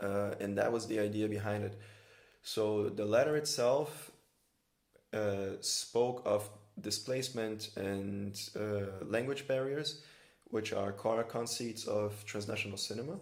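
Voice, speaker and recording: A man with a fairly low pitch speaks at a fairly slow pace with fairly even intonation, and audible room echo is present. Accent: Brazilian. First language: Brazilian Portuguese. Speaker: filmmaker and workshop organizer. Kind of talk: conversational interview.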